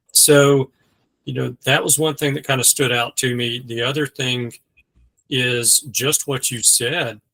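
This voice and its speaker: In a Southern US accent, a man at medium pitch speaks at a fairly slow pace with a bright, sharp tone, monotone, flat intonation, and a dry, close sound with no echo. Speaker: mortgage lender. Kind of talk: casual discussion.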